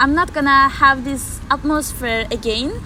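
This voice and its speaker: A woman's raised, projected, high voice with a Turkish accent, amid audible room echo and noticeable background noise. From Turkey. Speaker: exchange student. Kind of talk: interview. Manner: halting.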